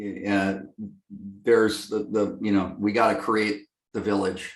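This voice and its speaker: A man with a fairly low pitch is heard with audible room echo. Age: 60s. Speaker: lighting company executive. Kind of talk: interview. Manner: halting, many fillers.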